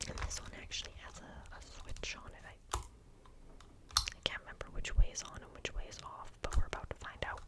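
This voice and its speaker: A whispering voice moves along fairly quickly with noticeable background noise behind it. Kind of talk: ASMR whisper video. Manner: whispered, soft-spoken.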